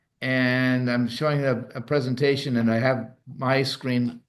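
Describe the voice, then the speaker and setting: A man's voice at a fairly slow pace. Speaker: wine tasting host. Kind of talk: hosted virtual wine tasting; casual chat. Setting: video call. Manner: halting; soft-spoken.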